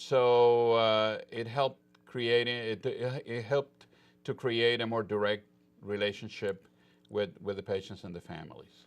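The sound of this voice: His voice sits fairly low in pitch, and the man talks at a fairly slow pace with a clear, smooth tone. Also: fairly even intonation.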